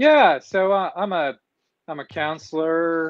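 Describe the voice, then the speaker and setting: A man with a Texan accent talks at a very slow pace, his pitch varying in an ordinary way. The sound is dry with no echo, over a quiet background. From Texas. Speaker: couples counselor. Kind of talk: casual discussion. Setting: phone video call. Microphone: video call.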